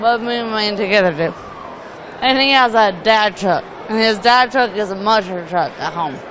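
Crowd noise fills the background as a woman speaks with a Southern US accent. Her pitch is fairly high with ordinary variation, and her pace is moderate. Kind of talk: interview answer.

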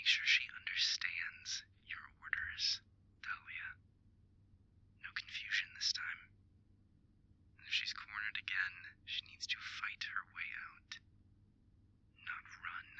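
Raspy and extremely high-pitched, this put-on character voice moves at a fairly slow pace. Long, frequent pauses break up the lines. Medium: audio drama. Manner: cold, calm, commanding.

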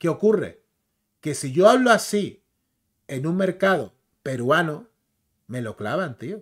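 Against a quiet background, a man speaks in an animated tone with lively intonation at a fairly slow pace. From Canary Islands, Spain. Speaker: YouTuber, comics and film commentator; YouTuber, comics, film commentator. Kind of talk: casual commentary video; casual live-stream commentary. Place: home room.

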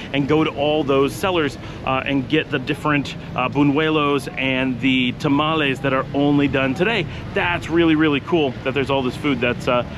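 A man speaks with fairly even intonation. The sound is dry with no echo, though noticeable background noise is present. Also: moderate pace, very even loudness. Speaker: travel vlogger. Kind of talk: casual vlog chat. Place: street. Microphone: phone near.

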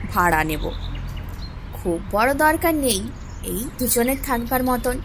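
High pitch from a woman, light background noise behind. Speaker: story narrator. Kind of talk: audio story narration.

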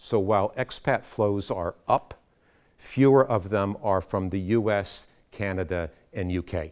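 A man with a very deep, low pitch and an American accent, ordinary pitch variation, over a quiet background. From United States. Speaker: education consultant; speaker. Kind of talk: lecture. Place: classroom.

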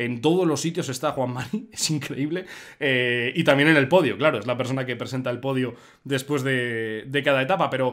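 A man at a medium pitch talks at a moderate pace, his pitch varying in an ordinary way against a quiet background. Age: 20s. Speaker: streamer host. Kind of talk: live stream chat. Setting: live stream. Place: home room. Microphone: earbuds.

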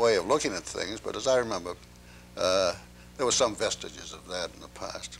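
A man with a Maine accent speaks at a fairly low pitch, his voice showing vocal fry. Light background noise sits behind him. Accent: Maine New England. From Portland, Maine, USA. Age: 80s+. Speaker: antiquarian book dealer. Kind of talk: interview answer. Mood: reflective, unhurried recollection. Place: home room. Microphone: lapel.

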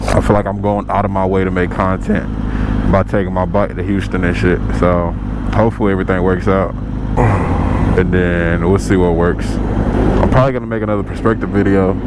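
Over loud background noise, a man speaks at a fairly quick pace, the sound dry with no echo. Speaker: motorcycle vlogger. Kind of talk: casual vlog chat. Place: motorbike. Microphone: helmet.

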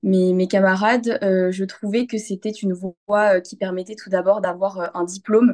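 Over a quiet background, a woman speaks very slowly at a medium pitch with fairly even intonation. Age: 20s. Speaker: veterinary student. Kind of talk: testimony. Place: home room. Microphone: phone near.

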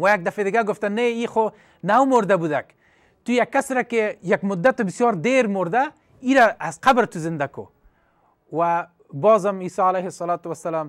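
A man with a high voice and ordinary pitch variation talks against a quiet background. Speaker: religious teacher on TV. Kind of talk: religious storytelling lecture. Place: studio. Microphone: lapel.

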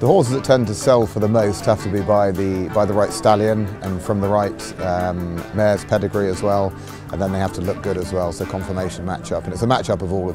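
A man's very deep, low voice at a fairly quick pace, with clear music in the background. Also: dry sound with no echo. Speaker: auctioneer. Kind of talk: interview answer. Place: open country.

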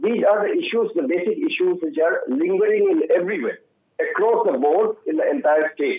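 A man talks with audible room echo. The background is quiet. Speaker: panelist. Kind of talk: televised panel debate. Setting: remote call. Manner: halting. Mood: earnest, appealing. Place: home room. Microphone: video call.

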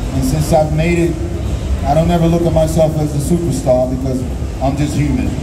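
Noticeable background noise runs under the recording. Over it, a man speaks at a moderate pace. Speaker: guest. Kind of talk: interview answer. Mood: grateful, earnest. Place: hall.

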